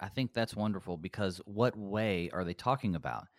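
Captured in a very clean recording with a silent background and a dry, close sound with no echo, a normal speaking voice shows ordinary pitch variation. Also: man. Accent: American. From US South, mountains of North Carolina. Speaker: pastor. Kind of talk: theological discussion.

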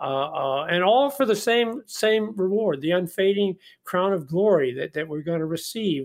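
A man with ordinary pitch variation. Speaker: pastor. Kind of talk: casual Bible study conversation. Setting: radio studio.

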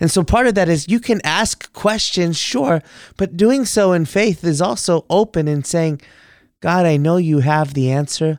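A man with an American accent speaks at a fairly slow pace with a high pitch, lively intonation and very even loudness. The recording is very clean, with a silent background and a dry, close sound with no echo. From Texas. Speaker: Lutheran pastor. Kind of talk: Bible study discussion on radio. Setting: in-person studio office.

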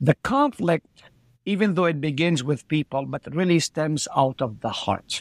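A man's fairly high voice in an Arabic accent, fairly slow, with lively intonation and a dry, close sound with no echo. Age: 60s. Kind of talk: interview.

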